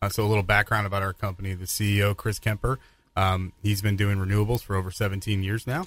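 A man's fairly low voice on a very clean recording, the background silent. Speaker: solar company marketing manager. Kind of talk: radio interview. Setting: studio. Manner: halting, many fillers.

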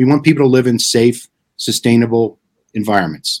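Here is a man with a plain, everyday voice. He speaks at a medium pitch and a fairly quick pace. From New Jersey (Clifton). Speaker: author and impact investment strategist. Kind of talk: live stream interview.

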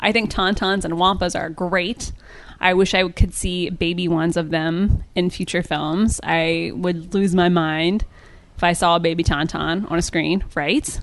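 Against a quiet background, a woman with an American accent speaks in a normal speaking voice, fairly low in pitch, with fairly even intonation. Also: fairly slow pace. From US Midwest, rural Ohio. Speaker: entertainment writer and podcaster. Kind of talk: casual interview.

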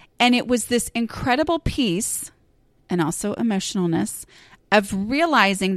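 A woman with an American accent speaks in a fairly high pitch with very wide pitch swings, in a dry, close sound with no echo. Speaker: podcast host and blogger. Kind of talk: casual solo monologue. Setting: home recording. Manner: conversational with fillers and laughs.

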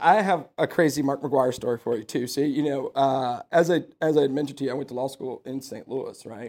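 A man speaks in an unremarkable speaking voice, fairly high-pitched, with an American accent and ordinary pitch variation. He talks at a fairly quick pace with hardly any pauses, on a very clean recording with a silent background. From Houston area, Texas (Sugar Land). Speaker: podcast host and lawyer. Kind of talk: casual interview chat.

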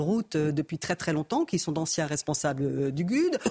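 The voice is somewhat breathy. It sounds dry and close, with no echo. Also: woman. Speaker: politician. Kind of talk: panel debate.

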